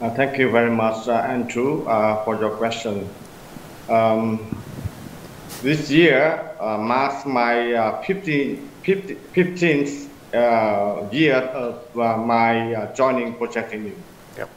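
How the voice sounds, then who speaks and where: With a Vietnamese accent, a man at medium pitch and ordinary pitch variation talks at a very slow pace with long, frequent pauses, amid light background noise and audible room echo. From Vietnam, Quang Tri province. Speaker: community manager; remote guest. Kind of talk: panel discussion. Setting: remote video link from Vietnam. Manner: halting. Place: home room. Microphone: video call.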